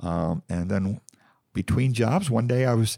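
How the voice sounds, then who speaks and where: With an American accent, this man has a dark, mellow tone, heard in a dry, close sound with no echo on a very clean recording with a silent background. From Ohio. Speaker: county clerk. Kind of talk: casual interview conversation.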